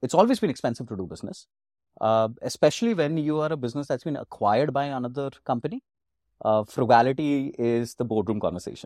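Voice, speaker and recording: A man talks very fast at a medium pitch with ordinary pitch variation, in a dry, close sound with no echo. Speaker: marketing executive. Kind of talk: interview.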